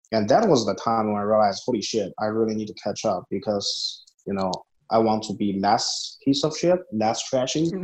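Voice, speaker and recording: At a moderate pace, a man with a Chinese accent speaks at a fairly low pitch with ordinary pitch variation. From small-town China. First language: Mandarin Chinese. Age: 20s. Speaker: MBA student. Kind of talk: casual interview. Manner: halting.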